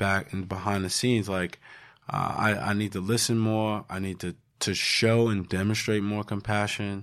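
Talking at a fairly quick clip, a man with a fairly low pitch keeps his intonation monotone and flat. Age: 30s. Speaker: podcast host and mental health advocate. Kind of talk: casual chat.

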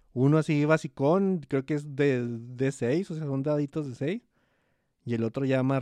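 Dark, mellow-toned man with a Mexican accent, medium pitch and a moderate pace, in a dry, close sound with no echo and a quiet background. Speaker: podcast co-host. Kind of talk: casual chat.

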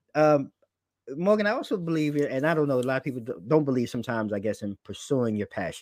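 Talking with an American accent, a man sounds animated and enthusiastic at a fairly quick pace. His pitch varies in an ordinary way, and the sound is dry and close with no echo. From New York. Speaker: podcast host. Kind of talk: casual interview. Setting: video call. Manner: animated, enthusiastic.

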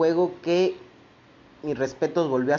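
A man speaks with a Mexican accent and ordinary pitch variation. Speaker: podcast host. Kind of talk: casual news commentary. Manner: informal, conversational.

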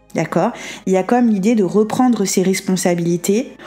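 A woman talks at a moderate pace with a medium pitch and ordinary pitch variation. Noticeable background noise is present. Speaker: tarot card reader. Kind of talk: tarot reading monologue.

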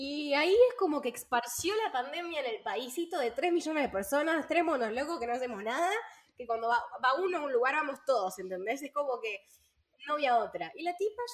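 A woman talks at a fairly quick pace in a high pitch that swings very widely. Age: 20s. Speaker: podcast co-host. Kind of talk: casual chat.

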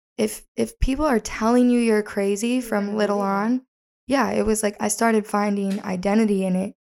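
In an ordinary speaking voice, a woman talks at a moderate pace with fairly high pitch and fairly even intonation. Her loudness is very even, and the recording is very clean with a silent background. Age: 20s. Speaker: podcast host. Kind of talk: casual chat.

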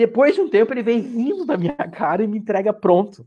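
Pitched high, a man speaks with a dark, mellow tone and lively intonation. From Rio Grande do Sul, Vale do Taquari. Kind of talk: casual chat.

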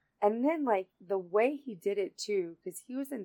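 In a dry, close sound with no echo, a woman with a Southern US accent speaks at a moderate pace with ordinary pitch variation. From North Carolina. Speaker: podcast host. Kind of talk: casual chat.

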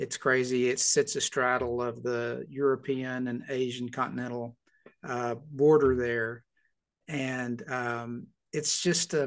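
Someone talks with a Southern US accent against a quiet background. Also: man. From US South, Arkansas (Little Rock). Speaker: pastor. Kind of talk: casual chat.

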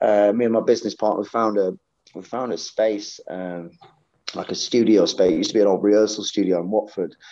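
Fairly even intonation and a dark, mellow tone mark this man's fairly low voice. He speaks at a fairly quick pace with a Yorkshire accent. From Sheffield, England. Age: 40s. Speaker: professional session drummer. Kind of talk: casual interview chat. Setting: at a gig venue.

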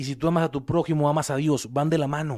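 The man's voice is fairly high in pitch with a dark, mellow tone and fairly even intonation. The recording is very clean, with a silent background. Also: dry, close sound with no echo. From Mexico. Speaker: preacher. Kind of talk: sermon.

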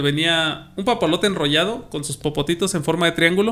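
The speaker is a man with a normal speaking voice. His pitch is fairly high, and its variation is ordinary. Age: 30s. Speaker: podcast host. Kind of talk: casual chat.

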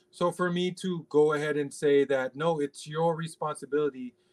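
Recorded dry and close with no echo, a man with an American accent and a fairly high pitch speaks at a moderate pace. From US, Los Angeles (Pacoima, San Fernando Valley). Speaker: basketball assistant coach and analyst. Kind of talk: casual interview.

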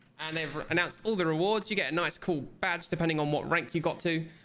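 Very fast speech comes from a man with a British accent. His fairly high voice carries vocal fry. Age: 20s. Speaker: podcast co-host. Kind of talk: casual chat.

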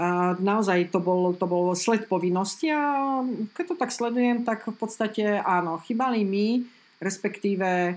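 A woman speaks at a fairly slow pace and medium pitch with ordinary pitch variation. She has a plain, everyday voice. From Slovakia. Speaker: former pro cyclist, teacher and coach. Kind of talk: casual interview.

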